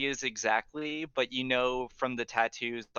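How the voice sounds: This is a natural reading voice. It carries throughout the clip.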